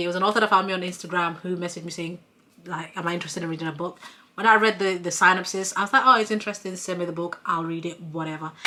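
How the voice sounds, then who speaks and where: A woman speaks with a non-native accent at a medium pitch. Her tone is bright and sharp, with ordinary pitch variation. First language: not English. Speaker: book reviewer. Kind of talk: casual monologue.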